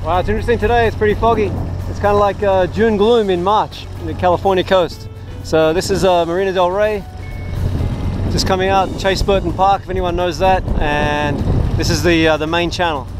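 A man talks in a high pitch with fairly even intonation. Music plays in the background, and the sound is dry with no echo. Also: fairly quick pace. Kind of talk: casual vlog chat. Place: boat. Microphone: phone near.

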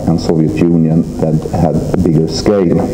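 There is noticeable background noise. A man speaks with audible room echo. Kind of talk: press conference speech. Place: hall. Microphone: podium.

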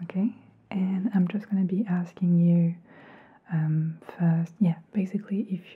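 Soft-spoken and somewhat breathy, a woman speaks with a dark, mellow tone. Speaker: ASMR or hearing-test creator. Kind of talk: soft-spoken direct-to-camera instructions. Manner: soft, hushed ASMR speaking voice. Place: home room.

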